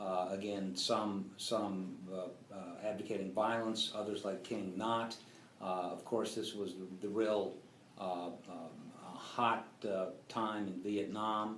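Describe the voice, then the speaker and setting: Over noticeable background noise, a man speaks very slowly in a fairly low, monotone voice. Room echo is audible. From grew up on US military bases. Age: 60s. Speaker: interviewee recalling civil rights era. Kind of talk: interview. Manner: halting, many fillers.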